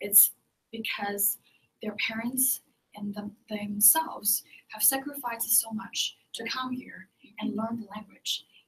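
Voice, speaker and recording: Spoken in a Chinese accent, the delivery is fairly slow with long, frequent pauses. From China. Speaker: ESL teacher. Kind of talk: group discussion. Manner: halting.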